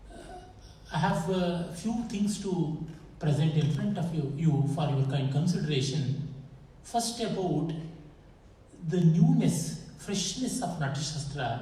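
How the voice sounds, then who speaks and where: Delivered at a fairly slow pace with long, frequent pauses and ordinary pitch variation, the speech has an Indian accent, with audible room echo and noticeable background noise. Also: man, fairly high pitch for a man. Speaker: scholar and lecturer. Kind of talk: lecture.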